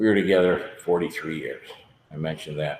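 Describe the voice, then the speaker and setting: A man at a moderate pace. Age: 60s. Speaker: recovery meeting speaker. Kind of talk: testimony.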